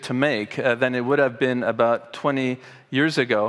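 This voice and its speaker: An unremarkable speaking voice at a moderate pace, ordinary pitch variation, quiet background. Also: man. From Canada, Montreal. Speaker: professor of political philosophy. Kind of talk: conference talk. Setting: stage with audience. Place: hall. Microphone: headset.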